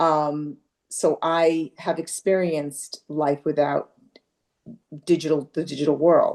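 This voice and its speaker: A woman speaks in a very deep, low pitch with monotone, flat intonation. Her pace is very slow, with long, frequent pauses. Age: 60s. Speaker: parent attending a support group session. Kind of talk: group discussion. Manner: hesitant, many fillers.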